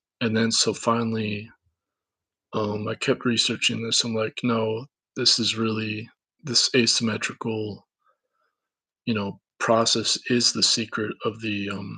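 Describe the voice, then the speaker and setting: This man has a Minnesotan accent and a bright, sharp tone at a medium pitch. He speaks fairly slowly in a monotone, flat delivery with long, frequent pauses. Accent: Minnesota. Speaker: independent researcher / vlogger. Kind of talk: casual monologue. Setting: camera recording. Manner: halting, many fillers and restarts.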